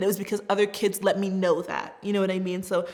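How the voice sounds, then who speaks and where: The speaker talks at a very fast pace. The voice has an American accent. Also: woman. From US Southwest, Tucson, Arizona. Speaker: refugee resettlement worker. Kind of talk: personal testimony. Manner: casual, conversational.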